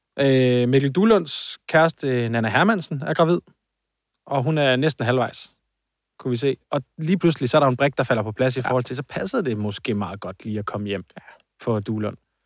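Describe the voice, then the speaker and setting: In a normal speaking voice, a man with a medium pitch and lively intonation speaks at a moderate pace, in a very clean recording with a silent background and a dry, close sound with no echo. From Copenhagen area (Hvidovre). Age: 30s. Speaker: podcast co-host. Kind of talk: casual chat.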